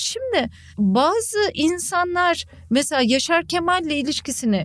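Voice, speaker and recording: A woman is speaking. Her pitch swings very widely. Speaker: journalist and podcaster. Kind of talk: casual chat. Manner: frequent loud laughter.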